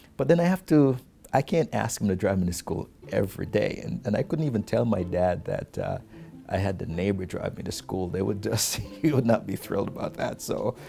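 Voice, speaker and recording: With music playing in the background, a man talks in a fairly low pitch. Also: lively intonation, fairly quick pace. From rural Jamaica. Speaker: business leader. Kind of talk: documentary interview. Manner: halting, many fillers and repeats.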